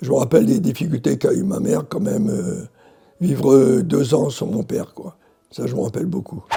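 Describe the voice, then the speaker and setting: This man's pitch swings very widely. His pace stays moderate. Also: fairly high pitch for a man. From Algeria, Morocco and France. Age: 80s+. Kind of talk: interview answer, personal memories.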